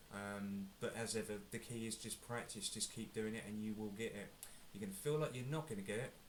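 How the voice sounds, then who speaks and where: With an English accent, a man talks at a fairly quick pace in a fairly low pitch, keeping his intonation fairly even. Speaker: guitar teacher. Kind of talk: tutorial. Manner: casual, hesitant with fillers.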